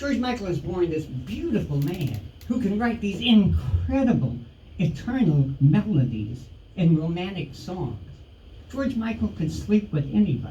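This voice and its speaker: Audible room echo surrounds a man whose high-pitched voice makes very wide pitch swings. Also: fairly slow pace. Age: 60s. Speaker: stand-up comedian. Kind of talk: stand-up. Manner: halting.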